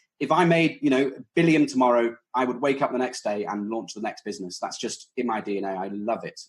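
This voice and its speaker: Very fast, nearly pause-free speech from a man with a British accent, medium in pitch, with ordinary pitch movement. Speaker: startup founder. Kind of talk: podcast interview.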